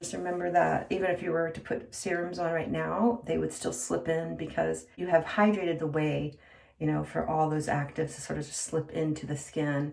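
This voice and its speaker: Speaking at a moderate pace, a woman with a very deep, low pitch is heard over noticeable background noise. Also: ordinary pitch variation. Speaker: esthetician demonstrating skincare. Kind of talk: tutorial. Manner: casual, conversational.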